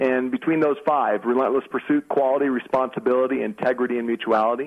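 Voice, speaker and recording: With an American accent and ordinary pitch variation, the man rattles along very fast. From San Diego, California. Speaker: startup company president. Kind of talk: business interview.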